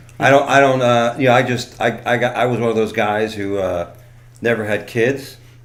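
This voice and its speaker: A man's medium-pitched voice with an American accent, flat and monotone at a moderate pace. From South Florida. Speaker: comedian. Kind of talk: casual chat.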